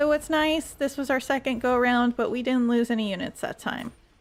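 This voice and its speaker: A woman speaks at a moderate pace in a high voice with ordinary pitch variation, over noticeable background noise. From Quebec (French Canada). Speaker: video game streamer. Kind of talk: gameplay livestream commentary with chat. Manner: casual, conversational.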